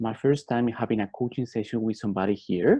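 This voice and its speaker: A man at medium pitch with a Colombian accent, talking at a very fast pace. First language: Spanish. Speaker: MBA student and life coach. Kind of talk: personal testimony talk. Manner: halting, frequent fillers.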